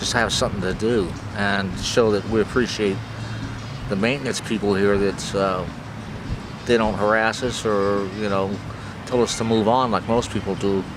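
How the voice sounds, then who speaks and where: Noticeable background noise sits behind a man with a fairly low pitch and monotone, flat intonation. He keeps a moderate pace, broken by long, frequent pauses. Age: 50s. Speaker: homeless person being interviewed. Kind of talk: interview answer. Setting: outdoors in a park.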